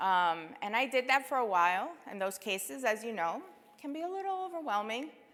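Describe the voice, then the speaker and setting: A woman with an American accent speaks at a fairly high pitch in a bright, sharp tone. Her pitch swings very widely. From New York City. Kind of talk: keynote speech. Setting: stage with audience.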